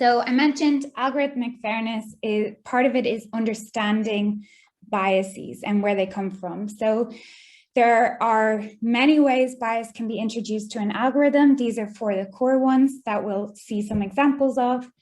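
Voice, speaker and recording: A woman speaks in an Irish accent at a moderate pace. Her pitch is fairly high, and her intonation stays fairly even. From Ireland. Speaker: data scientist, guest speaker. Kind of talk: lecture.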